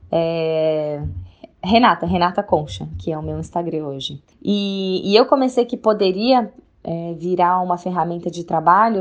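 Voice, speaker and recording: Lively intonation colors a woman's fairly slow speech. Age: 20s. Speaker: fitness influencer. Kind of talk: interview testimony. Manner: halting, repeats words.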